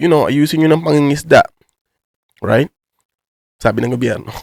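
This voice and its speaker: There is vocal fry in this man's medium-pitched voice, heard in a dry, close sound with no echo. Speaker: YouTuber. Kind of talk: casual vlog commentary in Taglish. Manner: casual, filler-heavy slang.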